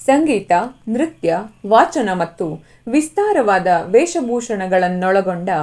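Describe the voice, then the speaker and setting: Very wide pitch swings from a woman with a fairly high pitch. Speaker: voice-over artist. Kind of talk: travel documentary narration.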